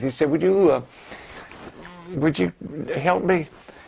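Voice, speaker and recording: Noticeable background noise is present. Over it, the man's intonation is lively. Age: 80s+. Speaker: war veteran. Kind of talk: interview answer.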